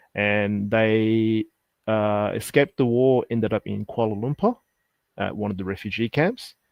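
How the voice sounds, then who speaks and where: Speaking with an Australian accent, the voice holds a moderate pace. Nothing rushes or drags. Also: man, fairly low pitch for a man, fairly even intonation. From Sydney, Australia. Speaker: insolvency accountant. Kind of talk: interview.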